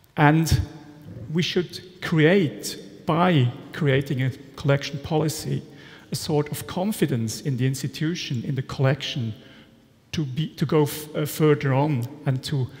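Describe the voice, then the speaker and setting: A man with a Swiss German accent speaks at a fairly slow pace. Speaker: art historian and storage consultant. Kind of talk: conference presentation. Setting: conference stage with audience. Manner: halting, with frequent fillers. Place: hall.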